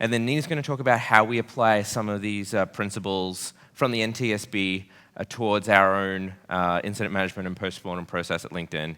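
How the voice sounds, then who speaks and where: A man speaks at a fairly quick pace in a bright, sharp tone, his fairly low pitch moving with ordinary variation over a very clean recording with a silent background. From Australia. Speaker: site reliability engineer, conference speaker. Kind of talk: conference talk. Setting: stage with audience. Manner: hesitant, many fillers.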